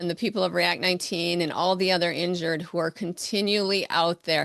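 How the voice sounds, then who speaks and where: A woman with a fairly low pitch speaks in an ordinary speaking voice over a quiet background. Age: 60s. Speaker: podcast host. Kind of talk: interview. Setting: podcast interview.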